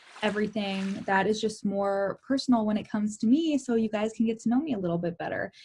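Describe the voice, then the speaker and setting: At a very fast pace with hardly any pauses, a woman speaks in a somewhat breathy, dark, mellow voice at fairly high pitch with ordinary pitch variation. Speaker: life and success coach. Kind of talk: casual talk to camera, personal vlog. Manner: candid, personal, enthusiastic.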